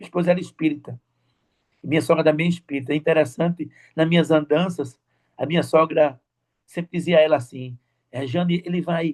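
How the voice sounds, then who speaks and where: A man talks at a fairly quick pace and fairly high pitch. His intonation stays fairly even, and the sound is dry and close with no echo. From Brazil, Recife, Pernambuco. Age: 60s. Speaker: church deacon. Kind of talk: testimony. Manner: fast; halting, repeats words.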